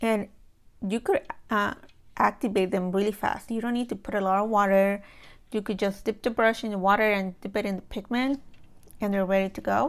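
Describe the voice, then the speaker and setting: A moderate pace and fairly even intonation on a very clean recording with a silent background. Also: woman. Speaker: watercolor artist and art supply reviewer. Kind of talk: casual talk to camera, product review. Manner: monotone.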